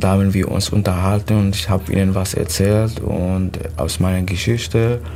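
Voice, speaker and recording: The speech comes at a moderate pace with fairly even intonation and very even loudness, with audible room echo and noticeable background noise. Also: man, very deep, low pitch for a man. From Syria. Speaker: refugee. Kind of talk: casual interview. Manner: halting.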